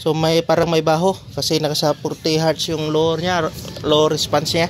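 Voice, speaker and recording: Music plays in the background as a man with a high voice talks at a fairly slow pace. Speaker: product reviewer. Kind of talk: product review. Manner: casual.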